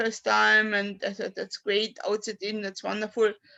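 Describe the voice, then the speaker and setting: A woman with a German accent speaks in a fairly high voice with monotone, flat intonation. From Austria. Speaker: poet. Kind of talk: poetry reading and personal talk. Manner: halting.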